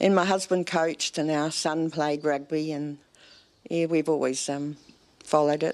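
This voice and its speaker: In a New Zealand accent, a woman speaks at a moderate pace with a very deep, low voice and monotone, flat intonation. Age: 70s. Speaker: rugby fan. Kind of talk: TV interview.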